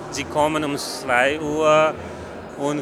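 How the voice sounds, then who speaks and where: Noticeable background noise sits behind a man with an Afghan accent and a fairly high pitch. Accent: Afghan-accented non-native German. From Afghanistan, Kabul. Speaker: festival volunteer. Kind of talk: on-site interview.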